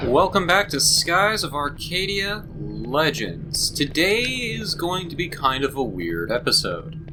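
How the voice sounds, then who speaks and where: Putting on a raspy character voice, a man talks at a fairly high pitch and a fairly slow pace with hardly any pauses, over noticeable background noise. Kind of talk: casual.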